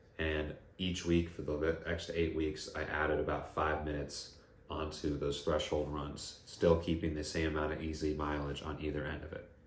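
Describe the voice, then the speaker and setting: Very deep and low, a man's somewhat breathy voice moves at a moderate pace in monotone, flat intonation, with audible room echo. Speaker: running coach and physical therapist. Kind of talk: tutorial.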